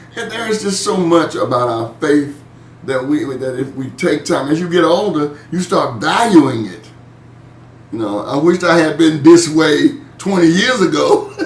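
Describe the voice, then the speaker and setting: A man with a fairly high pitch and lively intonation speaks at a fairly slow pace, with audible room echo and noticeable background noise. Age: 60s. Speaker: pastor leading Bible study. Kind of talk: online Bible study discussion. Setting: video call. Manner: casual, conversational.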